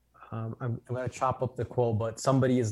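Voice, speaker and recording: With a Chicago accent, a man speaks at a fairly quick pace and medium pitch, his intonation monotone and flat. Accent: Chicago American English. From Chicago, Illinois. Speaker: financial professional. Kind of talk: interview conversation.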